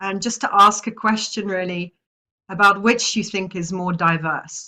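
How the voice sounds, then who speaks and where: A woman talks at a medium pitch with a bright, sharp tone. Her intonation stays fairly even, though her loudness swings a lot. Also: moderate pace. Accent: British. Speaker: social mobility expert. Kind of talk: webinar presentation.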